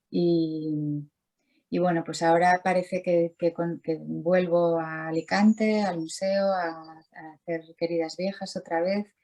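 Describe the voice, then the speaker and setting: Speaking very slowly in a monotone, flat way, a woman has a fairly low-pitched voice with a dark, mellow tone. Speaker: visual artist. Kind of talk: interview. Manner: halting, many repetitions.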